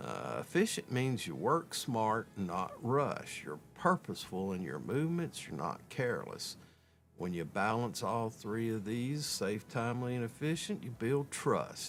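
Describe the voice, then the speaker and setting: A man with a Southern US accent at medium pitch and fairly slow pace, with very wide pitch swings, in a very clean recording with a silent background. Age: 60s. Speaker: construction safety trainer and live streamer. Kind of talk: casual live stream talk. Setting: home studio live stream. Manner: casual, halting with fillers.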